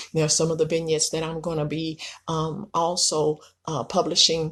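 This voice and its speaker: Somewhat breathy speech from a woman, delivered at a moderate pace. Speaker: self-published author and entrepreneur. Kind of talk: video talk promoting own book. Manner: hesitant with many fillers.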